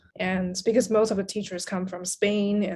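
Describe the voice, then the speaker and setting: The speech comes with a Chinese accent and a monotone, flat intonation. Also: woman. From Taiwan. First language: Mandarin Chinese. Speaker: writer and translator. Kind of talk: interview conversation.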